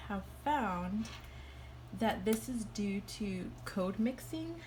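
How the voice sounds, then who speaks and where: Audible room echo surrounds a woman's voice. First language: Spanish. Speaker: student. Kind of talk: class presentation. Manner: hesitant, many fillers.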